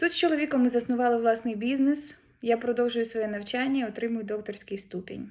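Ordinary pitch variation and hardly any pauses mark a plain, everyday voice. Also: woman, fairly high pitch for a woman. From Ukraine. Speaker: head of a research institute branch. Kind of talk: formal greeting address. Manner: formal.

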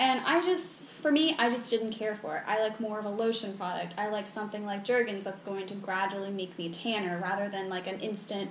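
A woman at a fairly quick pace with hardly any pauses and ordinary pitch variation, audible room echo and light background noise. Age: 20s. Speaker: beauty product reviewer. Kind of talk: casual talk to camera. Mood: mildly disappointed, frank. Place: home room. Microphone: camera far.

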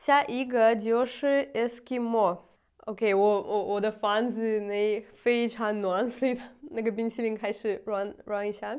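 With a Russian accent, a woman speaks at a very slow pace and a fairly high pitch. The background is quiet. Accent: Russian-accented Mandarin. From Russia, Moscow. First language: Russian (speaking Chinese). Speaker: vlogger. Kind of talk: casual vlog. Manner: halting, with many fillers. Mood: cheerful, smiling. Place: home room.

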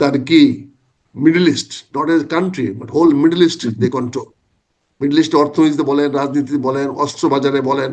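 A man's fairly high voice, a plain, everyday voice with fairly even intonation. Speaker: retired army officer and former MP, political commentator. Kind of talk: political talk show interview.

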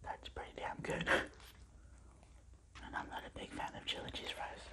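Whispering from a woman at a moderate pace. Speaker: ASMR eating-show creator. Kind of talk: casual talk to camera. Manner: whispered. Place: home room. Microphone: phone near.

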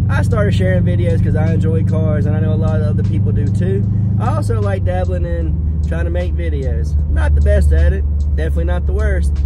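A man rattles off words very fast in a dry sound with no echo, while loud background noise plays. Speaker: car vlogger. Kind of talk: casual vlog chat. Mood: warm, thankful. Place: car. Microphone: phone near.

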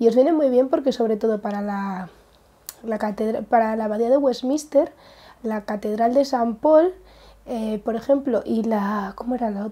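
This woman has a fairly high pitch and a dark, mellow tone. She keeps a moderate pace with ordinary pitch variation. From Spain. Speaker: craft vlogger. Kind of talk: casual vlog. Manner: halting. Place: home room. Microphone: lapel.

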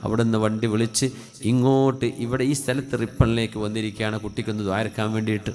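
His voice sits at medium pitch, and the man's intonation is monotone and flat. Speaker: Islamic preacher. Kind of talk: sermon with supplication prayer.

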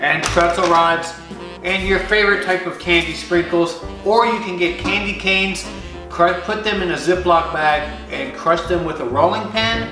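Clear music plays behind a man speaking at a high pitch, with audible echo in the room. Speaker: home cook vlogger. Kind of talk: tutorial. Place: kitchen. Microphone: camera far.

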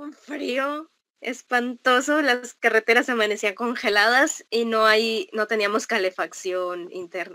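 A woman's fairly high, bright, sharp voice with lively intonation, at a very slow pace over a quiet background. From Mexico. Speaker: traveler, host's granddaughter; interviewer, guest. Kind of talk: casual family interview. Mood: cheerful, laughing. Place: home room.

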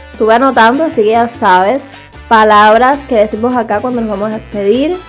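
With a Cuban accent, a woman speaks in an upbeat tone with ordinary pitch variation as faint music plays in the background. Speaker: YouTuber. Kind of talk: casual talk to camera. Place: home room. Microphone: lapel.

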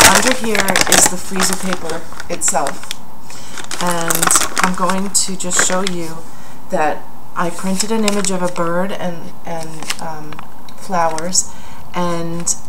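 A woman at a fairly slow pace amid loud background noise. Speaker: craft demonstrator. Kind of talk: tutorial. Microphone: phone near.

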